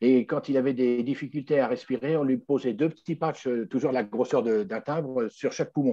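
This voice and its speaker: Dark, mellow tone from a man at medium pitch, a fairly slow pace, and a quiet background. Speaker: customer giving testimonial. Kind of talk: testimony. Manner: halting, many fillers.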